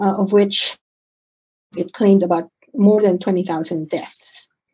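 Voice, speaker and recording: Against a quiet background, a woman speaks in a medium pitch with a dark, mellow tone, a somewhat breathy quality, and ordinary pitch variation. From Philippines (Manila). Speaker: physician; presenter. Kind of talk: lecture. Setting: video call. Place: home room. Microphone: video call.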